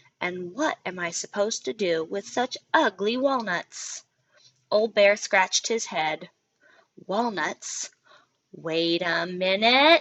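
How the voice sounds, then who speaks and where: A woman uses a drawling, put-on character voice at medium pitch. She goes at a fairly slow pace with lively intonation. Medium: read story. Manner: folksy drawl, dropped g's.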